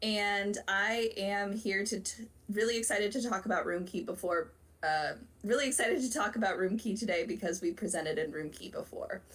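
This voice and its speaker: Her pace is fairly quick. The woman speaks at a medium pitch with ordinary pitch variation. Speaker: psychology graduate student. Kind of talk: self-introduction.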